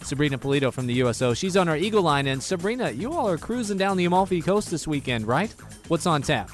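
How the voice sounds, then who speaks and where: Over music in the background, a man talks at a very fast pace. His pitch is fairly high and his intonation lively. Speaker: radio DJ on a military radio station. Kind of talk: radio host aircheck, upbeat.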